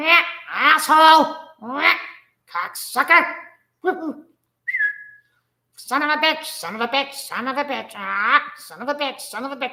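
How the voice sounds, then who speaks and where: A put-on character voice, high-pitched and at a fairly slow pace. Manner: squawky, profane.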